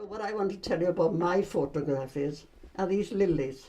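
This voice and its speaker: A woman speaks in a dark, mellow tone with a Welsh accent. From Wales, Aberystwyth area. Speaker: retired shop worker. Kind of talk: casual reminiscing interview. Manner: halting.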